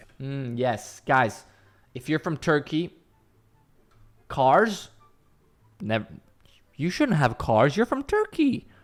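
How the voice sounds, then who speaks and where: On a very clean recording with a silent background, a man with an American accent talks at a fairly high pitch with very wide pitch swings. His pace is very slow, with long, frequent pauses. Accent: American-sounding. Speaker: streamer reacting to videos. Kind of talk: reaction commentary.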